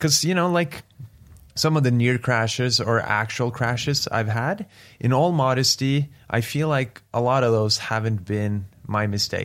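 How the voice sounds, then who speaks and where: A man with a Norwegian accent at a fairly slow pace, on a very clean recording with a silent background. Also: medium pitch for a man, ordinary pitch variation. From Norway. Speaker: professional drift racing driver. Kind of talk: casual interview. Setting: hotel room in Norway.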